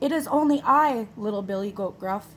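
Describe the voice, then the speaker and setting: Fairly high-pitched and at a moderate pace, a put-on character voice from a woman. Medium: read story. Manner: chatty, self-assured.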